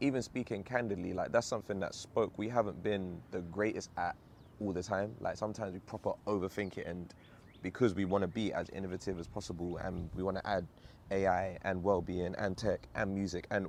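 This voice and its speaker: A man in a London accent, fairly low in pitch, at a fairly quick pace. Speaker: vlogger and startup founder. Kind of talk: casual vlog monologue. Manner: animated.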